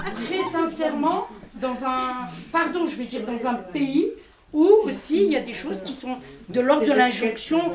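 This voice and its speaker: A woman with a high-pitched voice speaks very slowly, her loudness rising and falling sharply, with audible room echo. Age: 50s. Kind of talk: public testimony and discussion. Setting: community centre event with audience. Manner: hesitant, repeats words.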